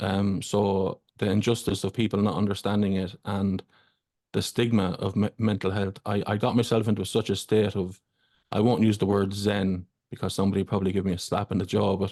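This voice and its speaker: A man talks at a fairly quick pace in a dark, mellow tone. His intonation stays flat and monotone over a quiet background. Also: fairly low pitch for a man. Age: 40s. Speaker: fellow podcaster. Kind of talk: casual chat.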